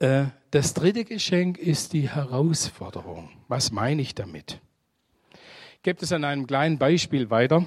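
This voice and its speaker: Lively intonation at a fairly slow pace in a plain, everyday voice. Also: man, fairly high pitch for a man. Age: 60s. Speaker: guest preacher. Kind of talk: sermon.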